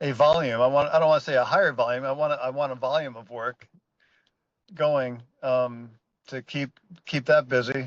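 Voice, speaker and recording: A man with a medium pitch speaks at a moderate pace with fairly even intonation. He leaves long, frequent pauses against a quiet background. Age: 60s. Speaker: building contractor and vent manufacturer. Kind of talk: interview. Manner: halting, many restarts.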